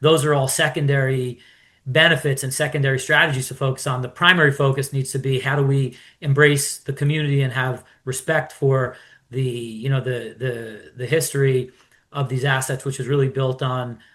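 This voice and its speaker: On a very clean recording with a silent background, a man with an American accent and a normal speaking voice talks at a fairly quick pace, medium in pitch, with fairly even intonation. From New York. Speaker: sports investor, club owner. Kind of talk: interview.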